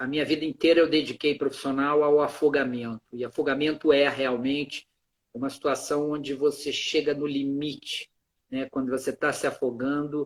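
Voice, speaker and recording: Monotone, flat intonation from a man with a fairly high pitch. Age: 60s. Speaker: emergency doctor. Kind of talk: interview. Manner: halting.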